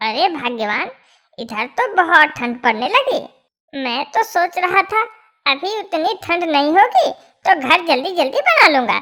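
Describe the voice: A cartoonish character voice pitched extremely high. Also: moderate pace.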